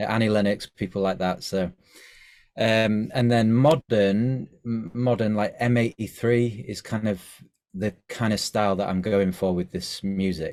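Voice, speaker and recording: On a very clean recording with a silent background, a man with an English accent speaks in a fairly even intonation. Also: fairly low pitch for a man, fairly slow pace. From England, Scunthorpe. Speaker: musical artist. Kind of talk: interview. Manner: halting, many fillers.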